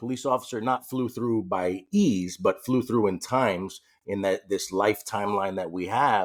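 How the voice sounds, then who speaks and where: The recording is very clean, with a silent background. A man speaks with a New York accent and ordinary pitch variation. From New York City, later California. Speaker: police officer. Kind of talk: personal story in interview. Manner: a little loud.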